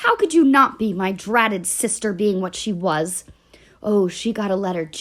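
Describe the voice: The text is read aloud plainly.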